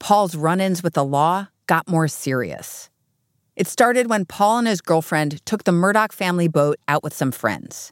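A woman speaks at a moderate pace in a plain, everyday voice, fairly low in pitch with lively intonation, the sound dry and close with no echo. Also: very clean recording, silent background. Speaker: podcast host. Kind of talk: scripted narration. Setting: studio.

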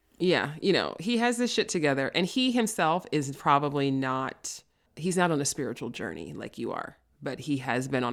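With an American accent, a woman speaks at a moderate pace in a very deep, low pitch with very wide pitch swings. The recording is very clean with a silent background. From New York City, the Bronx. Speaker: podcast host, love coach. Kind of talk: casual interview conversation.

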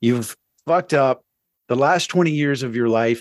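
A man talks in a normal speaking voice with ordinary pitch variation. The sound is dry and close with no echo, over a quiet background. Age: 50s. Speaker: recovery coach and musician. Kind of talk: interview testimony.

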